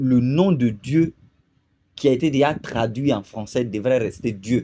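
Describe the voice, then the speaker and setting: Talking at a very slow pace with a Burkinabe accent, a man has a dark, mellow tone, medium pitch and lively intonation. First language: Lobi (speaking French). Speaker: video commentator. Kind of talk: video commentary monologue. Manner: hesitant, many fillers.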